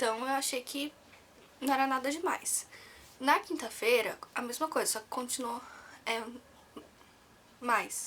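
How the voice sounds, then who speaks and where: Soft-spoken and high-pitched, a woman talks at a fairly slow pace. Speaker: vlogger. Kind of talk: personal story vlog. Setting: at home, near sleeping baby. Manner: soft-spoken, talking quietly; casual, with fillers.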